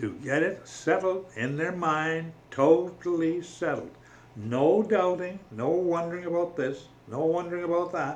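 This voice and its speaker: Noticeable background noise and audible room echo surround a man whose high-pitched voice shows ordinary pitch variation. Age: 80s+. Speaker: religious vlogger. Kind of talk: casual monologue on faith. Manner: halting.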